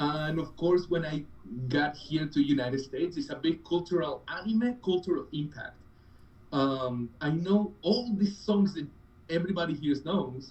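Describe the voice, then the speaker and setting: This man speaks with a Spanish accent. His voice is high-pitched. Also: ordinary pitch variation, moderate pace. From Colombia. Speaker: cosplayer. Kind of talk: interview. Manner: animated.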